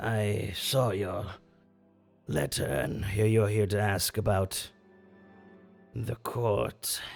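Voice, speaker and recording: A man's put-on character voice, raspy and fairly low-pitched, at a very slow pace with long, frequent pauses and faint music in the background. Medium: actual play. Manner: weary, wary, deliberate.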